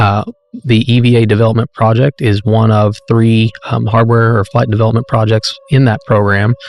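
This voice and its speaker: Monotone and flat, a man with an American accent speaks at a moderate pace in a medium pitch, his loudness very even and the sound dry and close with no echo. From US South, rural Arkansas. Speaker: space agency project manager. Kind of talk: interview.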